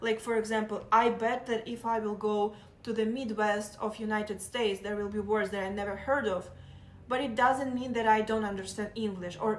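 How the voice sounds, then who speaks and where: A woman with a Russian accent speaks at a moderate pace. Her fairly high voice has fairly even intonation. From southeastern Ukraine. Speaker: live streamer. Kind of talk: casual chat.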